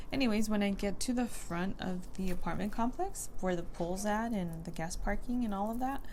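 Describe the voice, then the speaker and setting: A woman's medium-pitched voice at a moderate pace, with ordinary pitch variation, hardly any pauses and audible room echo. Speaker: beauty vlogger. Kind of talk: casual chat while doing makeup. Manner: whispering.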